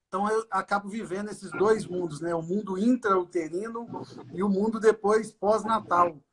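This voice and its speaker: High-pitched male voice at a moderate pace with fairly even intonation. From Brazil, Minas Gerais (Governador Valadares). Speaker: doctor specialising in fetal medicine and ultrasound. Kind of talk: casual live-stream conversation. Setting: online live stream.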